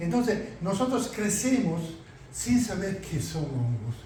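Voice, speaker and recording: A man with an Italian accent speaks at a fairly slow pace with very wide pitch swings, over noticeable background noise and audible room echo. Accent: Italian-accented Spanish, self-learned. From Italy. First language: Italian (speaking Spanish). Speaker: mycologist lecturer. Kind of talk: lecture.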